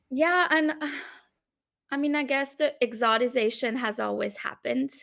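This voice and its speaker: Against a silent background in a very clean recording, a woman with a French accent speaks at high pitch and a moderate pace with ordinary pitch variation. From France or Belgium. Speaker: academic researcher. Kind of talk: casual interview conversation.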